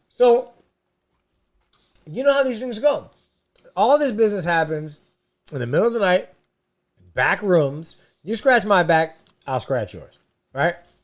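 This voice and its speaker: In a put-on character voice, the speaker sounds raspy at a middle pitch with very wide pitch swings, a moderate pace, and long, frequent pauses. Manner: sucking on a gummy, slightly muffled.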